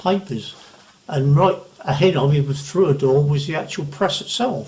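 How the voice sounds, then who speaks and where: A man with an Essex accent at a fairly high pitch and a moderate pace, over noticeable background noise. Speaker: retired newspaper printer. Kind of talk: interview answer. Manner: soft-spoken.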